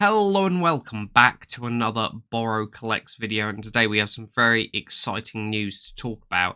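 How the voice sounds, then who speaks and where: On a very clean recording with a silent background, a man talks at a fairly quick pace with hardly any pauses, his bright, sharp tone showing big swings in loudness and ordinary pitch variation. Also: medium pitch for a man. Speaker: toy collector YouTuber. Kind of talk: casual vlog review.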